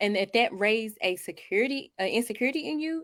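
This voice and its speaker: At a very fast pace, a woman with a Southern US accent and fairly high pitch speaks with lively intonation. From North Carolina, Monroe/Wingate. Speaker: podcast co-host. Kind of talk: casual chat.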